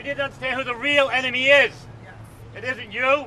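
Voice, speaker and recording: A man raises and projects an extremely high-pitched voice over noticeable background noise. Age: 60s. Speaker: activist at a rally. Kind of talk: rally speech.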